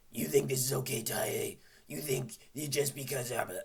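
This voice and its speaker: This is a put-on character voice. It sounds gravelly and raspy. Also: man, medium pitch for a man, moderate pace, ordinary pitch variation. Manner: stern, scolding.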